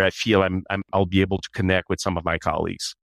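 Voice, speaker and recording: Speaking with a Canadian accent, a man talks at a fairly quick pace in a fairly low voice. The recording is very clean and dry, close with no echo and a silent background. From Canada. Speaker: HR executive. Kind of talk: interview.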